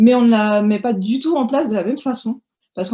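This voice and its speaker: A woman speaks at a moderate pace in a fairly high, somewhat breathy voice with a dark, mellow tone. Her pitch varies in an ordinary way over a quiet background. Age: 30s. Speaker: homeschooling mother and blogger. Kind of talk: casual chat.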